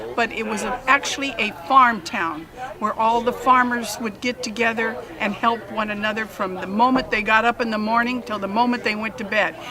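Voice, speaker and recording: A woman with an American accent at a fairly high pitch and a moderate pace, with fairly even intonation over noticeable background noise. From Pinole, California (San Francisco Bay Area). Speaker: long-time resident. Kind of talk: oral history interview.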